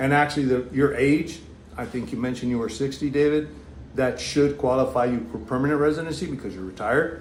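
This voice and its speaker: A man with an American accent speaks at a very fast pace, his pitch medium with ordinary variation. Audible room echo surrounds the recording. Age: 60s. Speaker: retired federal law enforcement officer, vlogger. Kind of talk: live stream Q&A. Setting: live stream. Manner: halting.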